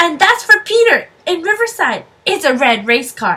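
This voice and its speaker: A woman's put-on character voice, extremely high in pitch, with very wide pitch swings at a moderate pace. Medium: read story. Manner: eager.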